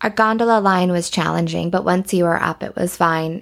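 In a Canadian accent, a plain, everyday voice moves at a fairly quick pace on a very clean recording with a silent background. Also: woman. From Alberta, Canada. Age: 30s. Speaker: ski resort marketing director. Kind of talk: casual interview chat.

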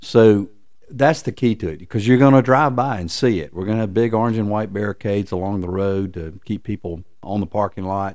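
A man with a Southern US accent at a fairly low pitch, fairly quick pace and ordinary pitch variation. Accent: Southern American. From US South, Lookout Mountain, Tennessee/Georgia. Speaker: tourist attraction executive. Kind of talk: interview. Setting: office.

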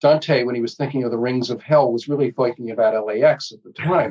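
An ordinary speaking voice comes from a man at medium pitch, speaking at a fairly quick pace with fairly even intonation. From New Jersey. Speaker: pediatrician and public health professor. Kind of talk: interview.

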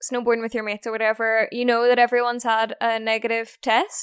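With a Northern Irish accent, a woman talks at a fairly quick pace and a fairly high pitch, in a dry, close sound with no echo on a very clean recording with a silent background. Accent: Northern Irish (Belfast). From Northern Ireland, Belfast. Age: 20s. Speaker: snowboard instructor and van life vlogger. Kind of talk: casual interview chat. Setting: face-to-face recording.

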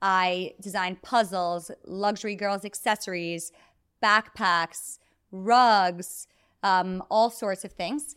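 A woman's medium-pitched voice in a New York accent, fairly even in intonation, in a very clean recording with a silent background. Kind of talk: podcast interview. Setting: in-person, recorded on camera. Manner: fast talker.

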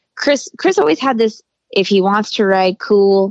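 Very wide pitch swings in an American accent, with a dry, close sound and no echo. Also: woman. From Colorado and southern California high desert. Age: 40s. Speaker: motocross mom. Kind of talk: casual interview.

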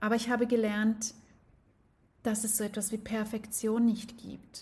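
A woman speaks in a fairly high pitch with a dark, mellow tone. Her delivery is somewhat breathy and fairly slow. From Switzerland. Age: 40s. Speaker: life coach. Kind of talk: personal storytelling monologue.

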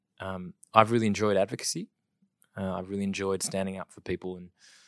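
A very fast, flat monotone in an Australian accent, dry and close with no echo, on a very clean recording with a silent background. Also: man. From South Australia. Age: 30s. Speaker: property industry executive. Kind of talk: interview.

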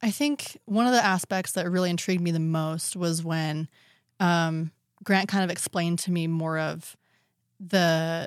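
A woman speaks at a moderate pace in a plain, everyday voice, fairly low in pitch with ordinary pitch variation. The recording is very clean, with a silent background. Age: young. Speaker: podcast producer. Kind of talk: casual chat.

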